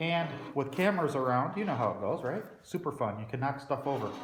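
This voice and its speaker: A man rattles along at a very fast pace, his voice carrying audible room echo over noticeable background noise. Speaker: DIY metalworking hobbyist. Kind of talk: workshop tutorial. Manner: loud.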